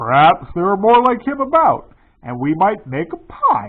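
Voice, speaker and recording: In a put-on character voice, a man projects a raised, high-pitched voice at a moderate pace. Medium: read story. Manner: coarse, surly.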